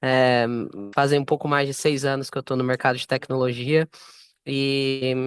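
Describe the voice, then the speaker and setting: The speaker has a Brazilian accent. The sound is dry and close with no echo, over a quiet background. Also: man. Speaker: software sales manager. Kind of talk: panel talk.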